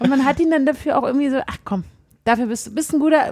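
A woman with a slight Berlin accent speaks at a very fast pace. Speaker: podcast co-host. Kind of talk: casual chat.

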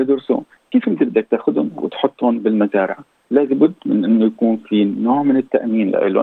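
Man's medium-pitched voice with ordinary pitch variation at a moderate pace. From Syria, Damascus. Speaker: dentist and asylum seeker. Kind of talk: interview.

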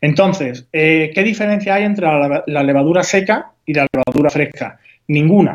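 A man speaks in a plain, everyday voice, fairly high in pitch, at a moderate pace with ordinary pitch variation. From Spain, Huelva (Andalusia). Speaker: home baker. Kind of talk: tutorial.

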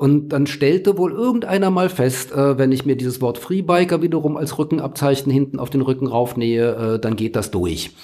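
A man at a fairly high pitch, with lively intonation, a moderate pace and hardly any pauses. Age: 60s. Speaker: journalist, former magazine editor. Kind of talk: interview. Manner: hesitant with fillers.

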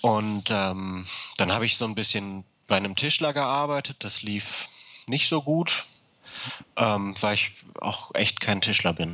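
With a bright, sharp tone, a man talks fairly slowly at a fairly low pitch and ordinary pitch variation. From Hamburg, northern Germany. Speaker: guitar maker. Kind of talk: interview. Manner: halting, many filler words.

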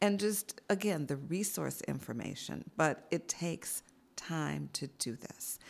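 In a very clean recording with a silent background, the words come at a fairly slow pace. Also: woman. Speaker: community organization leader. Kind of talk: interview.

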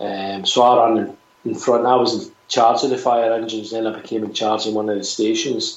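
A man in a Glaswegian accent at medium pitch and a fairly quick pace, monotone and flat, over noticeable background noise. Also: hardly any pauses. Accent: Scottish, Glaswegian. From Scotland. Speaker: musician, singer in a band. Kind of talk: casual interview chat.

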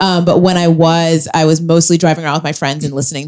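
Music plays behind a woman with a very deep, low pitch. She talks at a very fast pace with fairly even intonation. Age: 20s. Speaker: comedian. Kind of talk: stand-up style live podcast chat. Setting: stage with audience.

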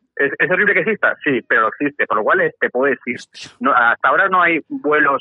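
A man at a fairly quick pace, his loudness very even. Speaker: podcaster and father. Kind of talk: casual chat.

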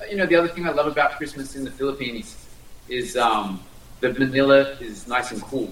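Amid audible room echo, a fairly high-pitched man with an Australian accent talks at a fairly quick pace, with ordinary pitch variation and big swings in loudness. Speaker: diplomat. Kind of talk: interview. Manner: halting.

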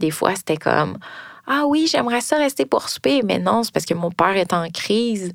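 A woman at a moderate pace, very wide pitch swings, very even loudness, a dry, close sound with no echo, and a very clean recording with a silent background. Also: medium pitch for a woman. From Quebec (Longueuil, Montreal area). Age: 30s. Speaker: storyteller sharing a personal story. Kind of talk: personal testimony.

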